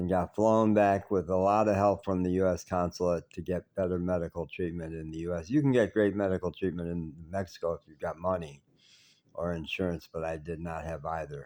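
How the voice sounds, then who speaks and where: A man's very deep, low voice with a dark, mellow tone, fairly even intonation, big swings in loudness and a fairly quick pace, on a very clean recording with a silent background. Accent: Chicago. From US Midwest, southwest side of Chicago. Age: 70s. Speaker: vlogger. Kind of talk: personal video diary. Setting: hospital. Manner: slightly halting, self-correcting.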